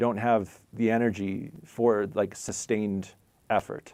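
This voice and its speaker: With a normal speaking voice and fairly even intonation, this man speaks at a fairly low pitch. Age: 40s. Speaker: spiritual teacher. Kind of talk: live stream chat.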